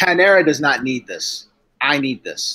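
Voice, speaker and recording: A man talks loudly. He has an American accent. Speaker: live streamer. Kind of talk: casual chat.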